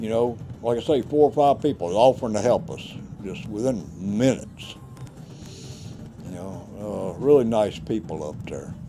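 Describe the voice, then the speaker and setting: Speaking in a Southern US accent, a man uses lively intonation with big swings in loudness. He leaves long, frequent pauses while music plays in the background. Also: fairly low pitch for a man, moderate pace. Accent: country Southern. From Louisiana. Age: 60s. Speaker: vlogger, former insurance adjuster. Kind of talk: casual narration over home video. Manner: halting.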